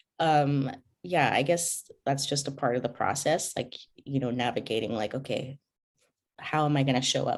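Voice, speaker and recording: With an American accent, a woman speaks at a moderate pace in a very deep, low pitch and fairly even intonation against a quiet background. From Zambia, then Omaha, Nebraska. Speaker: podcaster. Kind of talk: interview conversation. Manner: many fillers and hesitations.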